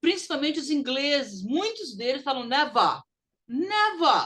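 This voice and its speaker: A woman with a high pitch, a bright, sharp tone and very wide pitch swings. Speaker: English teacher. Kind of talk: recorded online lesson.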